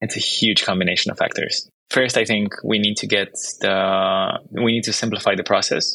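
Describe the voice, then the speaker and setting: A man speaks with a Romanian accent at a moderate pace. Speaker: startup founder and CEO. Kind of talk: interview conversation.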